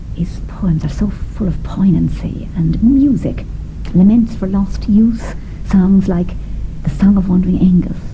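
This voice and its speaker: In an Irish accent, a woman speaks at a fairly slow pace with audible room echo and noticeable background noise. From southwest Ireland. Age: 50s. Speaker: singer. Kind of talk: radio documentary interview.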